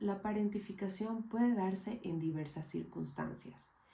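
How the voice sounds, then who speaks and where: Her voice is somewhat breathy, with a dark, mellow tone. This woman has a medium pitch and ordinary pitch variation. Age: 20s. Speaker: mental health educator. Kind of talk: scripted narration. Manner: formal.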